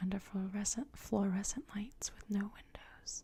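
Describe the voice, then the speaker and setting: A woman is whispering. She is soft-spoken and somewhat breathy. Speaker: ASMR artist. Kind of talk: ASMR ramble. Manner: soft-spoken, whispered.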